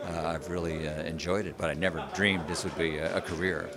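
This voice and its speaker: Someone with an American accent talks at a moderate pace over crowd noise in the background. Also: man. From United States. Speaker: ring announcer. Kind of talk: interview answer.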